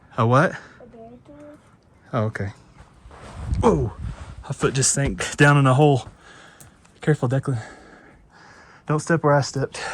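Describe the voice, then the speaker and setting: Pausing long and often, a man speaks in a somewhat breathy voice with a fairly high pitch. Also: ordinary pitch variation, moderate pace. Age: 30s. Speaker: outdoor vlogger. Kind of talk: casual vlog narration. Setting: outdoors.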